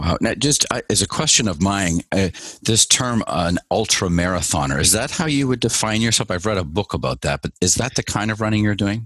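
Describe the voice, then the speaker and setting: A plain, everyday voice with lively intonation moves at a fairly quick pace. The sound is dry and close, with no echo. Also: man, fairly low pitch for a man. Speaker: podcast host. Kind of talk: interview.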